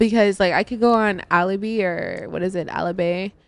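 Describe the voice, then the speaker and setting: A woman with a normal speaking voice and a medium pitch keeps a moderate pace and fairly even intonation. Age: 20s. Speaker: radio DJ. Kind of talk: casual chat.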